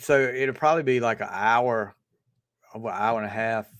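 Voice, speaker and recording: In a Southern US accent, a man with a medium pitch speaks at a moderate pace over a quiet background. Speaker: livestream host. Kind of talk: casual chat.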